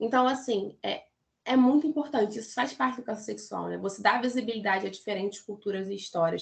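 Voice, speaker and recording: A woman speaks at a very fast pace in a fairly high pitch. Her voice has vocal fry. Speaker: pedagogy student presenter. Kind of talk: academic talk.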